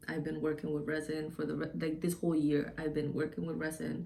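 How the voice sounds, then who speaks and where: A woman talks with a very deep, low pitch and a dark, mellow tone. Vocal fry comes through in her voice. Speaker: DIY and beauty YouTuber. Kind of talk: casual channel intro to camera. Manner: loud; hesitant, many filler ums.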